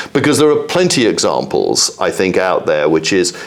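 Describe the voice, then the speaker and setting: Very fast male speech amid noticeable background noise. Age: 60s. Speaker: exchange chief executive. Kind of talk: interview.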